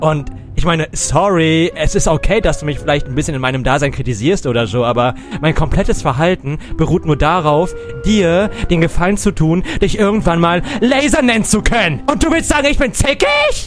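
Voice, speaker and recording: In a put-on character voice, a man sounds whiny with a theatrical, whiny tone, pitched high and moving at a moderate pace over clear music in the background. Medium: game stream. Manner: theatrical, whiny, defensive.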